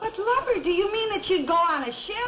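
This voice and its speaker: This woman puts on a squeaky character voice at an extremely high pitch. She talks at a fairly quick pace. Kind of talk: 1950s sitcom acting. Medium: short film. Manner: breathless, gushing, overdramatic.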